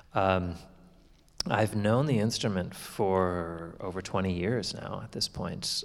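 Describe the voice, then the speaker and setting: Speaking with a Canadian accent, a man talks at a very deep, low pitch and a very slow pace. The recording is very clean with a silent background. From Canadian prairies. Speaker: concert violinist. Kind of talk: onstage interview. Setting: stage with audience.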